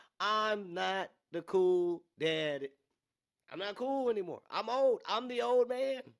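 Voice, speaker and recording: Recorded very cleanly against a silent background, a man with a high pitch speaks in an animated tone with lively intonation. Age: 30s. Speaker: podcast host. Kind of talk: casual monologue.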